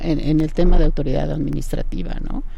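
With audible room echo, a woman at a medium pitch speaks with very wide pitch swings. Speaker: law professor. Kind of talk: radio interview.

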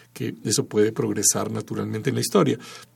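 A man at a medium pitch with vocal fry and a fairly quick pace. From Peru. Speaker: composer and sound artist. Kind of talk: radio interview. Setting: radio studio.

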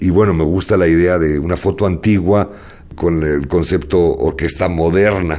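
With a very deep, low pitch and fairly even intonation, a man talks at a moderate pace. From Spain, moved to Mexico. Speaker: jazz arranger and composer. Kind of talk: radio interview.

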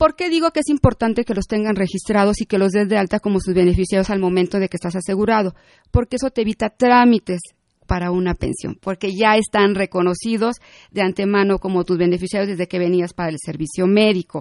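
Pitch varies in an ordinary way through very fast speech. Behind it, the background is quiet. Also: woman, medium pitch for a woman. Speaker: tax accountant and consultant. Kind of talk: radio interview. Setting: studio.

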